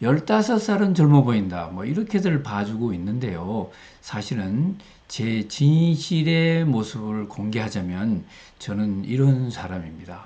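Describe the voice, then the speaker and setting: Speaking at a very slow pace, a man with a medium-pitched voice makes very wide pitch swings. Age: 60s. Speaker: retired professor, learning center director. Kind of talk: casual talk to camera.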